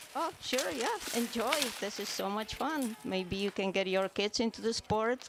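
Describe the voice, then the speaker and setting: Noticeable background noise sits behind a woman with a fairly high pitch who speaks at a moderate pace with ordinary pitch variation. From Eastern Europe. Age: 60s. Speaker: masters biathlete. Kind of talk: interview. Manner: hesitant, with fillers.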